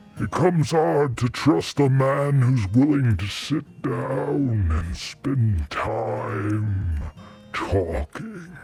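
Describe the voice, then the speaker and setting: A man in a put-on character voice at a very slow pace, with clear music in the background. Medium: audio drama. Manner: slow, terse, gruff.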